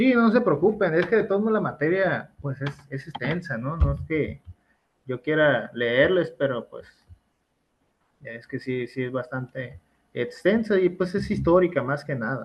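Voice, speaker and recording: A man's somewhat breathy voice sits fairly high, with very wide pitch swings and big swings in loudness. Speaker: university law lecturer. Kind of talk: online class lecture. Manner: fast.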